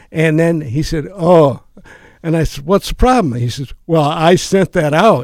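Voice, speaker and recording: In an Upper Midwest accent, a man speaks at a fairly slow pace with a fairly high pitch and lively intonation. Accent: Upper Midwest American. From Minnesota (Rochester). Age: 70s. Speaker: retired teacher and playwright. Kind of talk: interview. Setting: studio.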